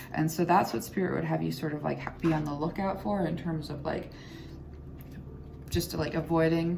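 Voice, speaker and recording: Mumbling, a woman speaks with audible room echo around her. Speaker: tarot reader. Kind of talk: tarot reading.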